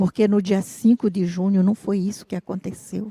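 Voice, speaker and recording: Her tone dark and mellow, a woman speaks at a moderate pace in a somewhat breathy, medium pitch with monotone, flat intonation and a dry, close sound with no echo. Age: 60s. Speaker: traditional fisherwoman and activist. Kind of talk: panel talk.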